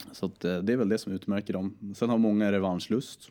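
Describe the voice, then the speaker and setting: Dark and mellow in tone, a man speaks at a moderate pace with a fairly low pitch. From Sweden, Stockholm area and Södermanland. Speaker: entrepreneur. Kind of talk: casual interview. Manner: animated.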